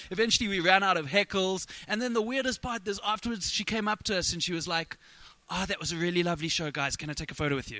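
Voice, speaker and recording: A man talks very fast in a high, raised and projected voice. His tone is bright and sharp. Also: ordinary pitch variation. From South Africa. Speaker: musical comedian. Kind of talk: casual comedic chat. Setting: live recording at a convention with small audience.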